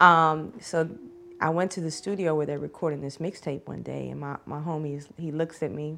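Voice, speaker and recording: With a Southern US accent, a woman of very deep, low pitch talks at a moderate pace with fairly even intonation and big swings in loudness. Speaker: rapper. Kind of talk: casual interview chat.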